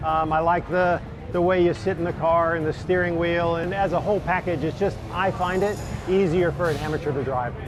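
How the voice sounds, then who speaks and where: With an American accent, a man talks fairly quickly at a high pitch and in a fairly even intonation, with audible room echo and music in the background. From US, Texas. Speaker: amateur race car driver. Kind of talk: interview.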